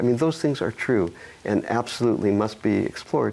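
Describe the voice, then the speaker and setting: A man with an American accent uses a normal speaking voice at a moderate pace with ordinary pitch variation. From United States. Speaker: dream specialist, psychologist. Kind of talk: interview answer.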